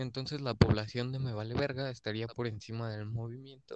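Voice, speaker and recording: A man with a Mexican accent talks at a fairly quick pace in monotone, flat intonation. His pitch is medium and the sound is dry and close with no echo. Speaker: podcast co-host. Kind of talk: casual chat.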